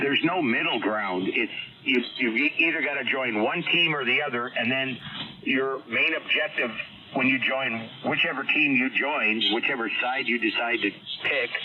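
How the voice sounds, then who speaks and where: A man talking at a moderate pace, with noticeable background noise. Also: medium pitch for a man, ordinary pitch variation, very even loudness. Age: 60s. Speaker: amateur radio operator. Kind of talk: casual on-air chat.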